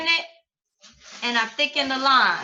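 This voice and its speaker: Raised and projected, a woman's high-pitched voice carries a bright, sharp tone with ordinary pitch variation. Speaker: trading course instructor. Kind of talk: online class tutorial.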